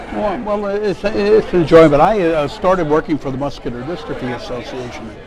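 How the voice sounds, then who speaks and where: Over crowd noise in the background, a man with an American accent talks at a moderate pace, his pitch swinging very widely. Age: 60s. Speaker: grants director. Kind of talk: interview. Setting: conference.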